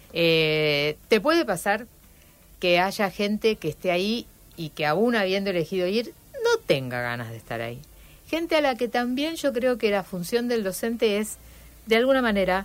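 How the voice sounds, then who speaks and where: A fairly slow pace, very wide pitch swings and a Rosario accent. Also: woman. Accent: Rosario Argentine Spanish. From Rosario, Argentina. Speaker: historian and university teacher. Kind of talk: radio interview. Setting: radio studio.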